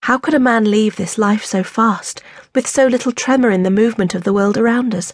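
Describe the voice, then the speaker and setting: A woman's somewhat breathy, fairly high-pitched voice at a fairly quick pace, with ordinary pitch variation. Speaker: audiobook narrator. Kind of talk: dramatic first-person audiobook narration of a historical novel. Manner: urgent and breathless in the fall from the horse, then measured and tender.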